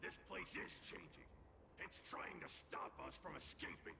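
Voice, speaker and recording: A man speaks in a put-on character voice. Loud background noise runs underneath. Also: moderate pace. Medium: video game. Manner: scornful, mocking.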